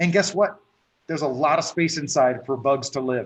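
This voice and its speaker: A man with a fairly high, somewhat breathy voice speaks with ordinary pitch variation. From France. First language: French. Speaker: reef aquarium expert. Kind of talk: interview.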